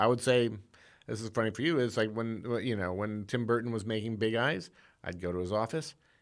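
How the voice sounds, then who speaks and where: A man with an American accent, a normal speaking voice, medium pitch, and a fairly quick pace on a very clean recording with a silent background. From Indiana, US Midwest. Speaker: screenwriter. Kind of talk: casual chat.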